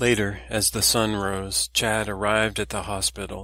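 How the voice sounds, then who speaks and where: This man has a fairly low pitch, a bright, sharp tone and some vocal fry. The recording is very clean, with a silent background. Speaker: author narrating own novel. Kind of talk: audiobook narration.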